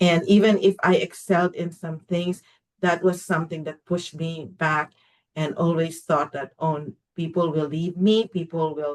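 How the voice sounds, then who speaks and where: This woman has a fairly low pitch. She talks at a moderate pace. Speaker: workshop facilitator and muralist. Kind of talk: podcast interview. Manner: animated; loud.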